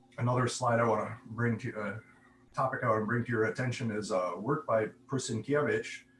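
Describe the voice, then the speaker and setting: At a moderate pace, a man speaks at a medium pitch in a somewhat breathy voice. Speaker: conference speaker, AI researcher. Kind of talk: conference talk with slides. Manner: hesitant with fillers.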